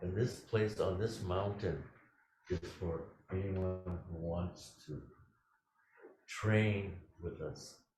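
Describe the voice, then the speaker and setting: Amid audible room echo, a man with a very deep, low, somewhat breathy voice speaks very slowly, with long, frequent pauses and fairly even intonation. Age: 80s+. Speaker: Zen teacher. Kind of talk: dharma talk; answering a question. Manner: halting.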